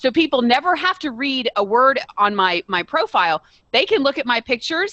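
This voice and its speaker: With an American accent, a woman speaks in an animated tone at a high pitch, her voice swinging very widely in pitch. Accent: Southern drawl, comes out at times. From Texas. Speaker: podcast co-host. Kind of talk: casual chat.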